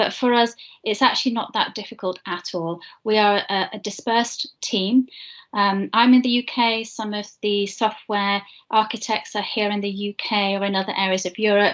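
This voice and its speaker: A woman with a British accent at medium pitch and moderate pace, against a quiet background. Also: fairly even intonation. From UK. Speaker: internship program manager. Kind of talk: presentation. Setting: video call. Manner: hesitant fillers. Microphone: video call.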